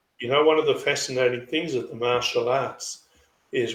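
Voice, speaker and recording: A fairly quick delivery with an Australian accent. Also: man. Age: 60s. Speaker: chiropractor and karate practitioner. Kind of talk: interview.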